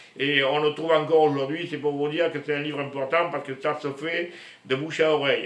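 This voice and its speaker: Amid noticeable background noise and audible room echo, a man speaks at a fairly high pitch with monotone, flat intonation. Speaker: spiritual vlogger. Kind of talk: casual monologue to camera. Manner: loud; slow.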